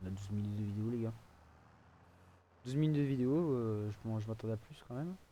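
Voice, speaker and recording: Soft-spoken and dark, mellow in tone, a man talks at a very fast pace with long, frequent pauses. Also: medium pitch for a man, ordinary pitch variation. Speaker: gaming video creator. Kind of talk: gameplay commentary. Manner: hesitant, many fillers.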